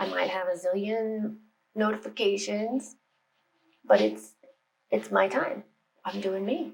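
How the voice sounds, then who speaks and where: Speaking with an American accent, a woman goes at a fairly slow pace with long, frequent pauses. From United States. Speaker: meditation and spirituality YouTuber. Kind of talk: casual vlog talk to camera. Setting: home office. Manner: chatty, informal.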